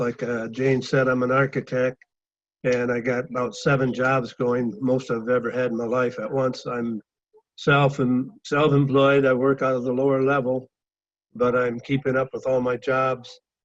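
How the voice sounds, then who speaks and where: At a moderate pace, a man speaks with a medium pitch and monotone, flat intonation. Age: 70s. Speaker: architect sharing product testimony. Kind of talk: testimony. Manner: halting.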